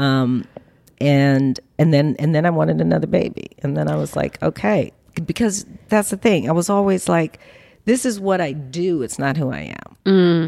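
A woman with an American accent, a very deep, low pitch, a dark, mellow tone, lively intonation and a moderate pace. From Los Angeles, US, of New Orleans Creole family. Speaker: film producer. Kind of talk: interview conversation. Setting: in her home.

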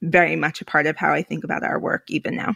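A woman is heard on a very clean recording with a silent background, the sound dry and close with no echo. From New York, Puerto Rican family. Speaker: executive director of an education philanthropy network. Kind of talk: interview conversation.

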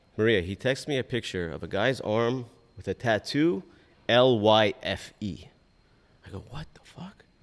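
A man speaks fairly slowly at medium pitch, his intonation lively. His loudness swings widely. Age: 40s. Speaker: personal injury lawyer. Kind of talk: interview. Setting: live event.

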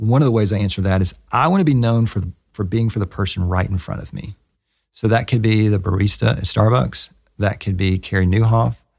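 Talking at a fairly quick pace, a man uses a Southern US accent and a fairly low pitch with ordinary variation. The recording is very clean, with a silent background. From US South. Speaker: pastor and author. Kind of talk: interview conversation. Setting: in person at his church.

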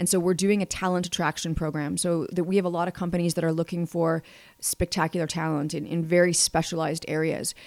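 A woman with a Canadian accent and fairly low pitch talks at a very fast pace in monotone, flat intonation, recorded dry and close with no echo. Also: very clean recording, silent background. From Manitoba, Canada. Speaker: economic development executive. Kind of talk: interview.

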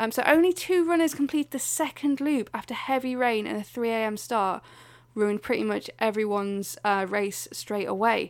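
On a very clean recording with a silent background, a woman with a plain, everyday voice speaks in a fairly high pitch at a moderate pace with lively intonation. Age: 30s. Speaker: podcast co-host. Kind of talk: casual chat.

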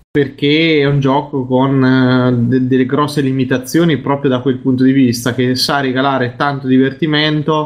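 At a fairly slow pace, a man with a normal speaking voice talks at medium pitch, his intonation fairly even. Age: 30s. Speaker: podcast co-host. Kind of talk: casual chat.

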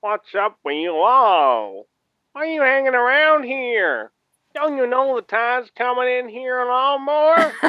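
Using a put-on character voice, a woman speaks high-pitched at a fairly slow pace.

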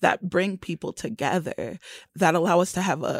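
A woman with an ordinary speaking voice, fairly low in pitch, in a dry, close sound with no echo. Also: very clean recording, silent background. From Florida. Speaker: poet. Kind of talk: radio interview.

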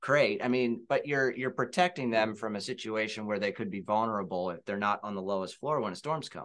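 A man with an American accent and a plain, everyday voice, fairly low in pitch with ordinary pitch variation, going at a fairly quick pace with hardly any pauses over a quiet background. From Pennsylvania, southern York County. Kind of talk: casual chat. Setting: studio, sharing a microphone.

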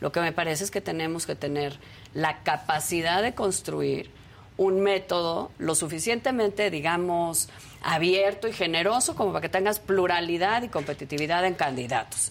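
A woman with an unremarkable speaking voice, fairly low in pitch, ordinary pitch variation, and a moderate pace. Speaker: panelist. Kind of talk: panel discussion on politics.

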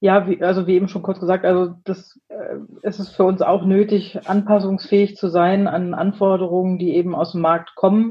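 Somewhat breathy, a woman of medium pitch talks at a moderate pace with hardly any pauses and monotone, flat intonation. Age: 30s. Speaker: agile team leader in software development. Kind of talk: interview conversation.

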